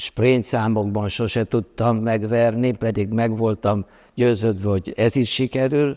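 A man speaks in a monotone, flat intonation. His tone is dark and mellow against a quiet background. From Transylvania, Romania. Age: 80s+. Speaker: art writer and journalist; journalist. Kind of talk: interview. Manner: hesitant, many filler sounds. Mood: calm, reflective, smiling. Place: hall. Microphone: lapel.

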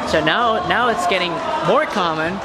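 The pace of speech is moderate. Loud background noise is present. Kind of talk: interview answer. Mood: cheerful, laughing. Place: gym. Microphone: phone near.

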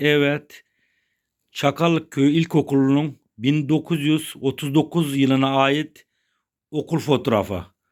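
On a very clean recording with a silent background, a man with an ordinary speaking voice talks at a fairly high pitch, with very even loudness and fairly even intonation. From Çakallık, Serik, Antalya, Turkey. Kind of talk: interviewer questions.

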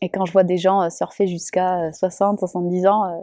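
Against a quiet background, a woman with a dark, mellow tone talks at a moderate pace, the sound dry with no echo. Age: 20s. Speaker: professional surfer. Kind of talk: interview testimony. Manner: hesitant, many fillers. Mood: warm, smiling.

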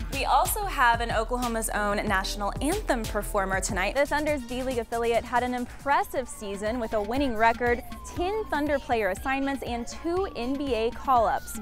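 With clear music in the background, a woman with a high pitch and lively intonation talks at a moderate pace with hardly any pauses, in a dry sound with no echo. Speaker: TV host, reporter and in-arena emcee. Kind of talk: TV host and reporter reel, on-camera hosting. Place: stadium. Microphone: lapel.

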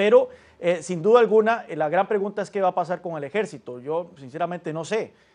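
Moderately paced, a man speaks in a high voice with ordinary pitch variation. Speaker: political analyst. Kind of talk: news interview. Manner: halting. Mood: calm, analytical. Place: studio. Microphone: lapel.

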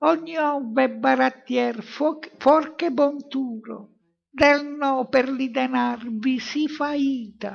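A female-sounding voice uses a put-on character voice at a high pitch. The pace is very slow. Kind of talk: comic devilish taunting. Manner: mocking, rough, gleeful.

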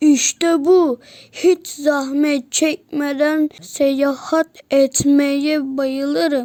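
A woman puts on a character voice at a high pitch. She speaks very slowly. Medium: read story. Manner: cheerful, naive.

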